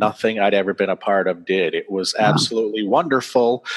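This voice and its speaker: The sound is dry and close with no echo as a man speaks in an American accent. He has an unremarkable speaking voice, medium pitch and ordinary pitch variation. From US Northeast (central Maine). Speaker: author. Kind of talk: interview. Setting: video call.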